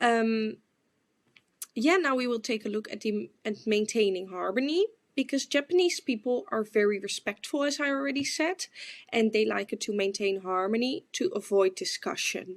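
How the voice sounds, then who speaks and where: A woman with a Dutch accent speaks at a moderate pace. Her fairly high voice has lively intonation. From Netherlands. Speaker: exchange student. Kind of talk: class presentation. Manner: hesitant, with filler words.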